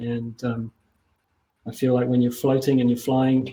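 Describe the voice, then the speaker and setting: Speaking at a moderate pace, a man with a medium pitch has a dark, mellow tone and a flat, monotone delivery. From overseas, not Australia. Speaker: mindfulness leader. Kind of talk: panel discussion.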